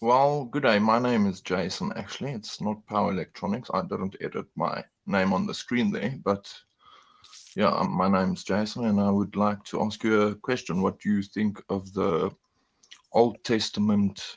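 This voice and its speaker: A South African accent at a moderate pace, with ordinary pitch variation. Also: man, fairly low pitch for a man. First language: Afrikaans. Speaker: caller. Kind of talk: casual discussion. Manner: halting.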